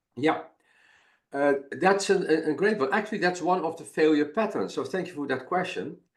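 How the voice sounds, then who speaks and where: With a Dutch accent, a man speaks at a moderate pace in a high pitch with ordinary pitch variation. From Netherlands. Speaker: failure and innovation expert, webinar presenter. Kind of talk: webinar presentation. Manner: halting, many repetitions and fillers.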